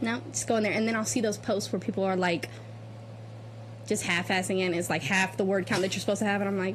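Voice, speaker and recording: A woman talks at a very fast pace at a medium pitch, with very wide pitch swings and vocal fry. Her loudness stays very even. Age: 20s. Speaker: podcast co-host, film student. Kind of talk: casual chat.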